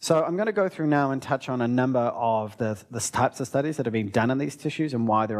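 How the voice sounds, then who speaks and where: In a medium pitch, a man talks at a very fast pace with ordinary pitch variation. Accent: New Zealand. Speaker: research scientist. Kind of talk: lecture.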